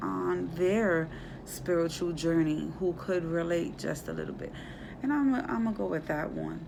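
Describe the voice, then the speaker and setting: The woman talks at a fairly slow pace. Room echo is audible. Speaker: spiritual vlogger. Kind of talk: casual vlog monologue. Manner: slow, halting.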